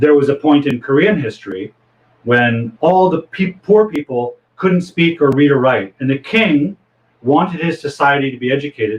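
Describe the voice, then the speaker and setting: A man's fairly high, somewhat breathy voice with lively intonation and a Canadian accent. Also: moderate pace. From Toronto, Canada. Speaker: English teacher. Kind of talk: lecture.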